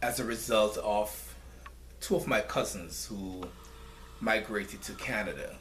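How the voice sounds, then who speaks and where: A man at a fairly slow pace, with long, frequent pauses and audible room echo. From Jamaica (rural St. Thomas parish). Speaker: nonprofit founder. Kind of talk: interview.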